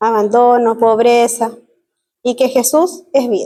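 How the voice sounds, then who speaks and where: A woman's dark, mellow tone. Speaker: missionary. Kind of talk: missions presentation in church.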